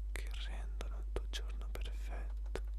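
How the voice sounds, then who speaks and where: Whispering and soft-spoken, a man talks at a very slow pace in a dry sound with no echo, with noticeable background noise. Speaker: guide of a reflective exercise. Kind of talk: calm guided reflection, asking questions. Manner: soft close whisper, Italian.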